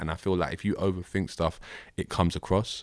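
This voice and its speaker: In a South London accent, a man talks at a very fast pace with a very deep, low pitch. The recording is very clean, with a silent background. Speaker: rapper. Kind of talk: casual interview.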